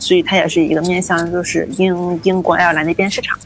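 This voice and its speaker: Over noticeable background noise, a woman with a fairly low-pitched voice talks at a very fast pace. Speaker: food science graduate student. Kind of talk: interview conversation.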